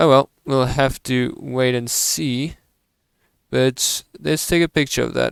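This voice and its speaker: In a dry, close recording with no echo, a man speaks at a very slow pace. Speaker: gaming video creator. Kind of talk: gameplay commentary. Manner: loud; casual, hesitant with fillers.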